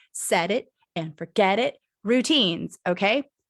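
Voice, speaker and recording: Lively in intonation and fairly high in pitch, a woman speaks in a plain, everyday voice with a dry, close sound and no echo. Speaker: creativity coach. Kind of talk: presentation. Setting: live stream.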